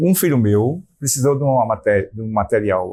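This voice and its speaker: With a dark, mellow tone, a man talks at medium pitch, somewhat breathy and with lively intonation. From Alagoas, Brazil. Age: 70s. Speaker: retired local historian. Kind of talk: documentary interview.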